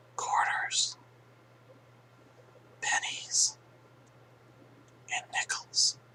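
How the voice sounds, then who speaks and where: Extremely high male pitch with very wide swings, set against noticeable background noise. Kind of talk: ASMR whisper video, casual talk to camera. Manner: whispered, soft-spoken.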